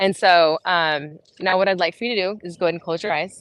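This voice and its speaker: A woman with a plain, everyday voice and a fairly low pitch speaks at a fairly quick pace with fairly even intonation, recorded dry and close with no echo over a quiet background. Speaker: fitness coach. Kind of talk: guided meditation; fitness class instruction. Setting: outdoors. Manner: casual, filler-heavy.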